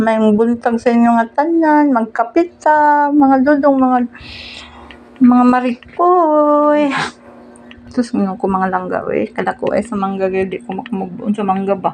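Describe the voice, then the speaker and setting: This woman speaks with a Cebuano accent and a high pitch. Her intonation is lively and her pace fairly slow. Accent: Cebuano (Bisaya) Filipino. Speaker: vlogger. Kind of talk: casual vlog talk while eating. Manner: animated.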